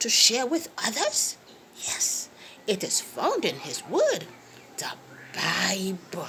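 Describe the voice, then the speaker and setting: Clear background noise runs under a woman speaking at a very slow pace in a warm tone. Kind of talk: children's Bible storytelling. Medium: read story. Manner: warm, coaxing, lots of "hmm" and "yes".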